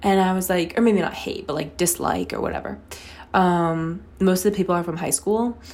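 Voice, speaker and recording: Amid audible room echo, a woman talks in an animated tone at medium pitch and a moderate pace. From North Carolina. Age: 20s. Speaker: podcast host, college student. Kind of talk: casual solo talk. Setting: bathroom at home. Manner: animated, frequent laughs. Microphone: echoey room, close to mic.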